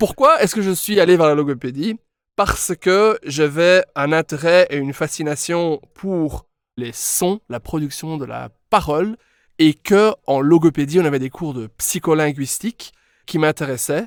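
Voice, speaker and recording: In an English accent, a man with a fairly high pitch speaks at a fairly slow pace with ordinary pitch variation. His loudness swings widely on a very clean recording with a silent background. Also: dry, close sound with no echo. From Belgium, Brussels (Molenbeek). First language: English (speaking French). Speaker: English pronunciation coach, former speech therapist. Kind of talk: podcast interview.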